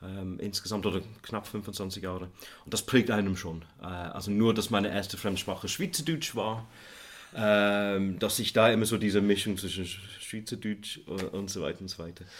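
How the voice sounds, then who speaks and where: Here a man talks at a moderate pace. His pitch is fairly low and his intonation fairly even. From England, near Manchester; teenage years onward in Switzerland. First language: English (speaking German). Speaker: economics professor. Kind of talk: interview.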